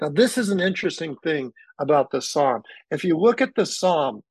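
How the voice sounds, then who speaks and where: Against a quiet background, a man talks with a high pitch and lively intonation. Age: 50s. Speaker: pastor. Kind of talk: interview about faith and forgiveness. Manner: animated.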